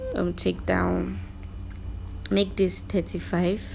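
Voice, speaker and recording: A woman is speaking. Her pace is very slow. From Nigeria. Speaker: YouTuber. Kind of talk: screen-share tutorial narration.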